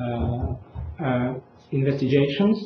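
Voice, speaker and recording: A man with a Russian accent, amid audible room echo and noticeable background noise. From Russia, Moscow. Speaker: conference speaker, researcher. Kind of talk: lecture.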